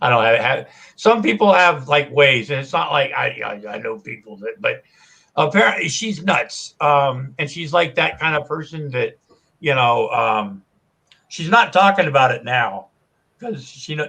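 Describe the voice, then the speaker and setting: At a moderate pace, a man talks with a bright, sharp tone, fairly high pitch and lively intonation. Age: 60s. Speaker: livestreamer. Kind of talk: casual chat. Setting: live stream. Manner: halting.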